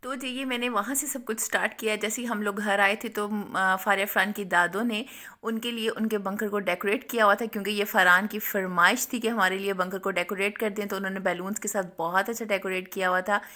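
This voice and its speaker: A woman at medium pitch talks with hardly any pauses in a bright, sharp tone and fairly even intonation. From Pakistan. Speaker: cooking and family vlogger, housewife. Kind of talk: recipe tutorial voice-over. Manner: halting, hesitant.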